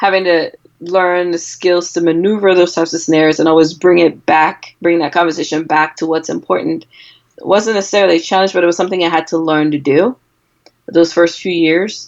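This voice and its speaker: A woman with an American accent, a fairly low pitch and fairly even intonation. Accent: Cameroonian accent, noticeable to US patients. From Cameroon. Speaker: physician. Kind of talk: interview.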